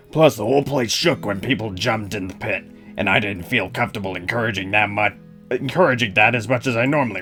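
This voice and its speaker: A man talks very fast in a put-on character voice, raspy and fairly low-pitched. His pitch varies an ordinary amount, with clear music in the background. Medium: game stream. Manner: wry, deadpan storytelling.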